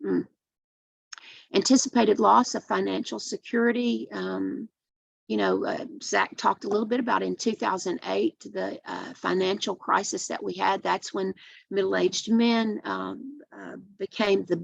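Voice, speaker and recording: Spoken at a moderate pace with an East Tennessee accent, the voice sounds dry and close, with no echo. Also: woman. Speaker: addiction treatment program director. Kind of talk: webinar presentation. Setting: online webinar.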